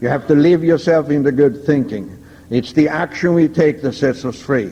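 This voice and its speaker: The speaker has a Swedish accent. The pace is moderate, with ordinary pitch variation. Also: man, fairly high pitch for a man. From Sweden. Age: 70s. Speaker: recovering alcoholic speaker. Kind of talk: recovery testimony talk. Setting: stage with audience. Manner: enthusiastic.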